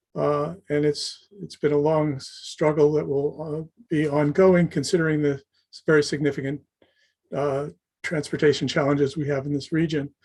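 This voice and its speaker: A man's fairly high, somewhat breathy voice, flat and monotone, at a moderate pace. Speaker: city council member. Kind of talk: public testimony at government hearing. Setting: public hearing session. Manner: formal, hesitant with many fillers.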